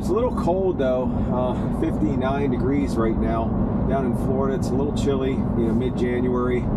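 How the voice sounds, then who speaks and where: Loud background noise competes with the man who is talking. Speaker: car vlogger. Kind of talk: casual vlog chat. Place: car. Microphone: camera far.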